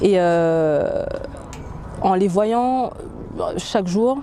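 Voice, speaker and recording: A woman talks very slowly, her words echoing audibly in the room amid noticeable background noise. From French Antilles. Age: 30s. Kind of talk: testimony. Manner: halting, many hesitations.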